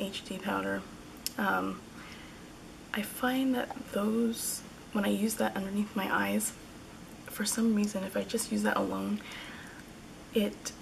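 A fairly slow delivery with noticeable background noise behind it. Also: woman. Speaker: beauty vlogger. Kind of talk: casual talk to camera. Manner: hesitant, many fillers. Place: home room. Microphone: phone near.

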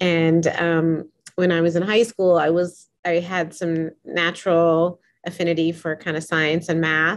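A woman with an American accent speaks at a moderate pace. Her fairly low voice is monotone and flat. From US, Boston. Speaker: professor. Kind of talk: interview. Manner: hesitant, filler words. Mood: warm, smiling. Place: home room. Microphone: webcam.

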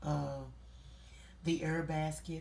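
Speaking with vocal fry and little pitch movement, a woman is heard with audible room echo.

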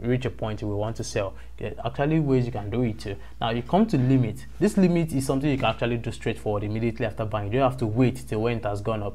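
Talking at a very fast pace with a Nigerian accent, a man has a medium-pitched, dark, mellow voice with vocal fry and ordinary pitch variation. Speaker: YouTube crypto trading tutor. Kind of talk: screen-recorded tutorial. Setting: screen recording voiceover. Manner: hesitant, with frequent fillers.

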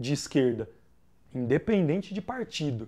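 A man with a fairly high pitch, very wide pitch swings, moderate pace and a quiet background. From Brazil. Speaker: rapper. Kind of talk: interview. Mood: calm, reflective. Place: home room.

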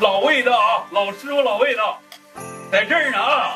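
A man's raised, projected voice at a moderate pace, with clear music in the background. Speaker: chef. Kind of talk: casual cooking show banter. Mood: delighted, admiring. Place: kitchen.

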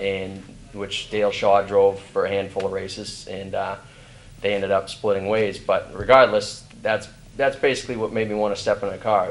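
A man talks at a fairly quick pace in a fairly low, flat monotone. Light background noise sits behind him. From New England. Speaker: racing driver; guest. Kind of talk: interview. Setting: trade expo floor. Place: hall.

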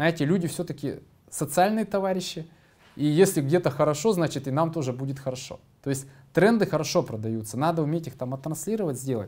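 Pitched fairly high, a man speaks at a fairly quick pace with ordinary pitch variation. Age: 40s. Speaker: business executive. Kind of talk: conference presentation. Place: meeting room. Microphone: studio mic.

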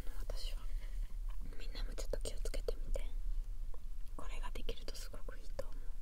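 A soft-spoken woman whispering in a gentle tone, dry sound with no echo, light background noise. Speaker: massage creator. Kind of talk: soft-spoken casual tutorial. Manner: soft ASMR whisper, gentle. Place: booth. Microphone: earbuds.

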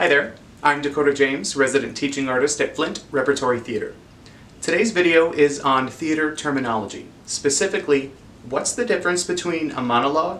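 The voice moves at a fairly quick pace with ordinary pitch variation. Light background noise sits behind it. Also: man. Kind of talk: educational explainer. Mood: friendly, expressive.

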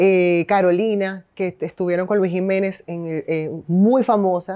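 A woman's dark, mellow tone at a fairly slow pace over a quiet background. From Venezuela, Caracas. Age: 30s. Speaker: radio host and businesswoman; interview guest. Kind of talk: casual interview. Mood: animated, candid storytelling. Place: home room.

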